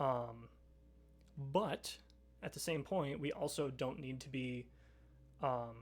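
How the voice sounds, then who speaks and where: Music plays behind the voice. Delivery is very slow, broken by long, frequent pauses. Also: man, medium pitch for a man, ordinary pitch variation. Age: 20s. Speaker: streamer. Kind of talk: casual chat. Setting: live stream. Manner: halting.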